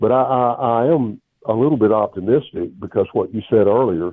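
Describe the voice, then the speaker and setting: A man with a Southern US accent, at a moderate pace, with ordinary pitch variation. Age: 70s. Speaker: historian and former professor. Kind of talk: interview. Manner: halting.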